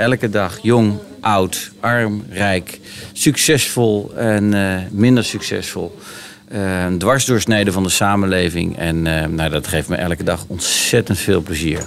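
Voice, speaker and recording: A man speaks at a very slow pace, his pitch fairly low with ordinary variation. Background noise is noticeable. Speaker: mayor hosting podcast. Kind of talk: casual interview. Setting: community centre.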